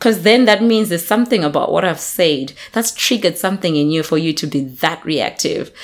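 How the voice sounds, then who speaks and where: A woman with a plain, everyday voice, fairly low pitch and lively intonation, going at a fairly quick pace with hardly any pauses. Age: 30s. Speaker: podcast co-host. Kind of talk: casual chat.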